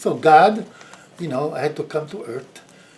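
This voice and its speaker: A man talks at a fairly slow pace, his voice carrying audible room echo over noticeable background noise. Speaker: video blogger. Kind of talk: personal reflection monologue. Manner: halting.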